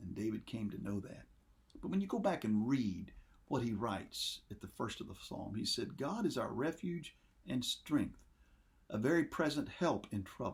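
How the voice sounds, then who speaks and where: The man's fairly high, somewhat breathy voice makes very wide pitch swings. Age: old. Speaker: pastor. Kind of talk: sermon.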